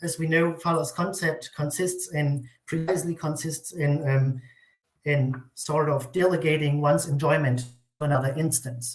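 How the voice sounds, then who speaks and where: A man with a non-native accent, fairly high in pitch, somewhat breathy, with fairly even intonation at a moderate pace. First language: not English. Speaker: academic writer. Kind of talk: reading aloud.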